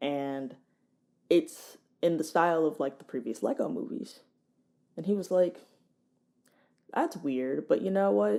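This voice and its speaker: Long, frequent pauses at a fairly slow pace, on a very clean recording with a silent background. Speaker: content creator. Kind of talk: casual vlog talk. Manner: loud.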